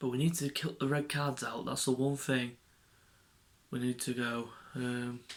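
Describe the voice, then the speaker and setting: A man speaks quietly at a medium pitch with an English accent. His intonation is monotone and flat, with long, frequent pauses. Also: moderate pace. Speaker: football fan vlogger. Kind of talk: casual match preview monologue.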